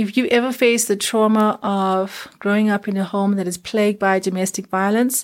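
On a very clean recording with a silent background, a woman speaks with monotone, flat intonation. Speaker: podcast host and life coach. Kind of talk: motivational monologue. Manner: passionate.

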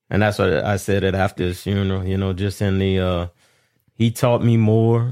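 In a very clean recording with a silent background, a man talks at a moderate pace. His pitch is very deep and low, and his intonation stays fairly even. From Abbeville, Louisiana.

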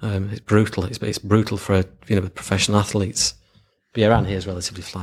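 A man speaks very fast in a fairly low, somewhat breathy voice, monotone and flat, his loudness swinging widely on a very clean recording with a silent background. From Lancashire, northern England. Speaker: marketing agency founder. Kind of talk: casual interview.

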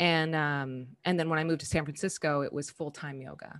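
Against a quiet background, a woman with an American accent talks at a moderate pace in a very deep, low pitch with fairly even intonation. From Southern California. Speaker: yoga teacher. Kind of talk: casual interview.

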